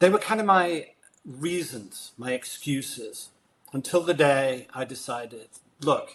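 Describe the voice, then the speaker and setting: In a British accent, a man speaks with lively intonation at a fairly high pitch. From Britain. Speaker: leadership and sales coach. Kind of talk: interview conversation. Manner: animated.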